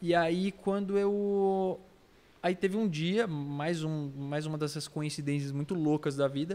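Speaking at a fairly slow pace, a man with a fairly high pitch and a dark, mellow tone shows ordinary pitch variation. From Brazil, São Paulo state (Itapira, Campinas). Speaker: artist. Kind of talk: casual chat.

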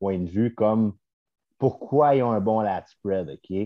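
A man with a medium pitch and lively intonation speaks in a normal speaking voice. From Quebec, Laurentides. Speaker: bodybuilder and posing coach. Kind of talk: casual chat.

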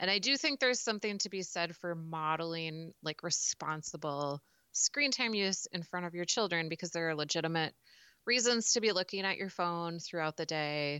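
At a moderate pace, a woman with a Midwestern US accent talks at a fairly low pitch with ordinary pitch variation. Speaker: podcast co-host, mom. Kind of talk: casual chat.

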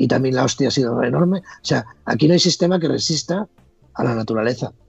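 A man speaks in a somewhat breathy voice. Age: 50s. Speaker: former reality show contestant. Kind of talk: casual interview. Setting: call.

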